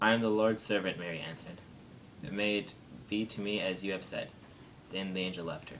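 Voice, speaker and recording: Over light background noise, a man talks in a fairly low pitch with ordinary pitch variation. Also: fairly quick pace. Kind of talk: reading aloud a nativity passage. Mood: calm, steady holiday reading. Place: home room.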